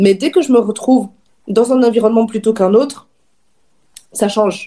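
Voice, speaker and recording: Her voice is fairly high for a woman, with a dark, mellow tone and ordinary pitch variation. She keeps a moderate pace and a very even loudness. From Wallonia, Belgium (Dinant, Namur region). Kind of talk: casual chat.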